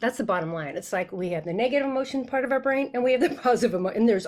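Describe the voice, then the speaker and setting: Here a woman is speaking. Her tone is animated. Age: 60s. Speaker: sales mental fitness coach. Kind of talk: podcast interview. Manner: halting.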